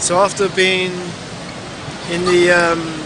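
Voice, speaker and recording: A man with a high-pitched voice projects it loudly. The room echoes audibly, and there is noticeable background noise. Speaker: vlogger. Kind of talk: vlog narration. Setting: outdoors and at an event in London.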